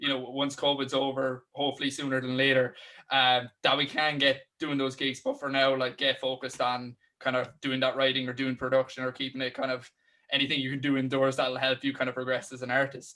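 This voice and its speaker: Fairly quick and flat, a man's medium-pitched voice has a bright, sharp tone and a Cork accent, delivered in a monotone. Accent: Cork Irish. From Ireland, Cork. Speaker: podcast host. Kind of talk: interview.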